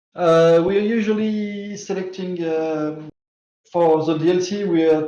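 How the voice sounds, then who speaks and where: A man's fairly high voice with a French accent and fairly even intonation. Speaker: game developer. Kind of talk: interview answers. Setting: live stream. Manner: halting, many fillers.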